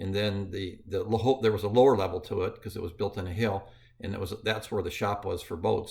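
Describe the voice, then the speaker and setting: The man's voice is fairly low and somewhat breathy. He speaks at a fairly quick pace. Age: 60s. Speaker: grandfather recounting his early working life. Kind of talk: personal storytelling. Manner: halting, with many fillers.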